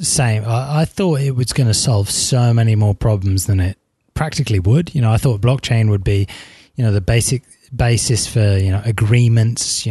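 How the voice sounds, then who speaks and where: The voice is somewhat breathy with a dark, mellow tone. Its pitch varies in an ordinary way. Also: man, very even loudness. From England. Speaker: tech podcast co-host. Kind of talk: casual chat. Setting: remote call.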